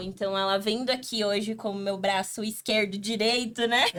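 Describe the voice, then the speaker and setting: Her pitch medium and her pace moderate, a woman speaks in a plain, everyday voice. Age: 20s. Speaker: podcast host. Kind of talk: podcast introduction.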